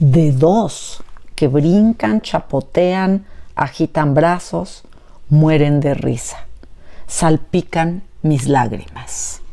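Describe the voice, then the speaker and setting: Speaking at a very slow pace, a woman uses a very deep, low pitch and a dark, mellow tone with lively intonation. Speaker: educator and book reviewer. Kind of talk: poetry reading aloud, after an informal educational talk. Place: home room. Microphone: lapel.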